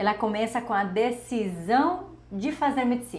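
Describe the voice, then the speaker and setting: A woman's fairly slow, lively-toned speech with a Spanish accent and audible room echo. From Bolivia, Santa Cruz de la Sierra. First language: Spanish (speaking Portuguese). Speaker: doctor, endocrinology. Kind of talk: personal story vlog.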